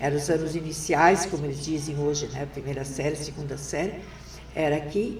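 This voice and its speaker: Noticeable background noise and audible room echo around a woman talking at a moderate pace. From southern Brazil, Rio Grande do Sul. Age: 70s. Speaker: retired teacher and former education secretary. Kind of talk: interview.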